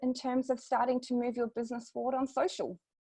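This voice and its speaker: A woman talks with a New Zealand accent. Her pitch is high. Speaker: social media marketing consultant. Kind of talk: webinar presentation.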